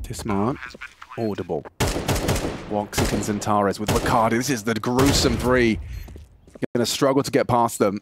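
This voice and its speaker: Using a normal speaking voice, a man talks at medium pitch and a moderate pace, with ordinary pitch variation. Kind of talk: esports commentary.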